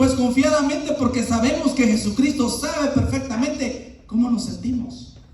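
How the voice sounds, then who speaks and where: Over noticeable background noise, a man speaks at an extremely high pitch in a monotone, flat intonation, at a moderate pace with hardly any pauses. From Latin America, moved to US at 16. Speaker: pastor. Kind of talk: sermon.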